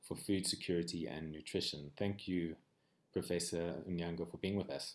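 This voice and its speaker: Ordinary pitch variation and a fairly quick pace from a man. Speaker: session moderator and researcher. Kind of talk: moderated online panel discussion. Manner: fast.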